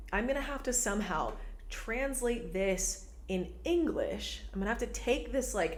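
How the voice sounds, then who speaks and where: An animated voice with an American accent at a fairly slow pace, amid noticeable background noise and audible room echo. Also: woman. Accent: perfect American accent (own words). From Venezuela, raised partly in Texas. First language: Spanish. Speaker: podcast host, spiritual teacher. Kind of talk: casual monologue podcast. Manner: animated, filler-heavy (like, repeated words).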